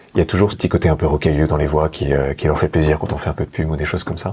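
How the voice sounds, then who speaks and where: A man speaks at a very fast pace in a very deep, low pitch. Noticeable background noise sits behind him. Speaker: hypnotherapist. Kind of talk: podcast interview.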